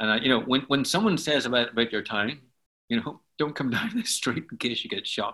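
In a Belfast accent, someone talks at a fairly quick pace with ordinary pitch variation. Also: man. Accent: Belfast Northern Irish. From Northern Ireland, Belfast. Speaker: worship leader and songwriter. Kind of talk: interview, storytelling.

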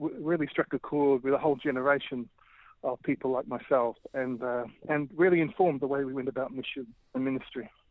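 This man has an Australian accent and a fairly high pitch. He talks at a fairly quick pace with fairly even intonation. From Australia, Melbourne. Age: 40s. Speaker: urban ministry leader. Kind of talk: interview.

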